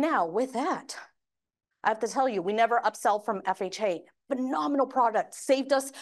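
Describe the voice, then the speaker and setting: A woman's fairly high, animated voice at a fairly quick pace, with ordinary pitch variation and a quiet background. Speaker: mortgage industry presenter. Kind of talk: training presentation. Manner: fast.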